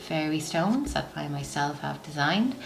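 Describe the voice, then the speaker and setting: Against noticeable background noise, a woman with an Irish accent speaks in a very deep, low voice. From Ireland. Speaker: psychic medium, oracle card reader. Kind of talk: tarot and oracle card reading to camera. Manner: warm, soothing.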